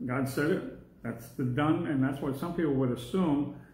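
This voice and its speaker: Light background noise and audible room echo around a man at a moderate pace. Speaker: Bible class teacher. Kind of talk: lecture. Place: classroom. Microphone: phone near.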